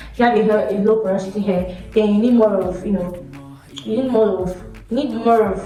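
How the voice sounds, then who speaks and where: A woman at a moderate pace with fairly even intonation, audible room echo and music in the background. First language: not English. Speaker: hair care YouTuber. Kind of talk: tutorial. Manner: chatty, conversational.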